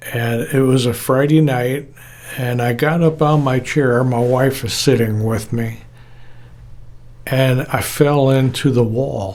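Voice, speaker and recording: In a room with audible echo, a man speaks very slowly at a medium pitch with fairly even intonation. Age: 70s. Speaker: retired audio engineer. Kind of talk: casual personal talk to camera.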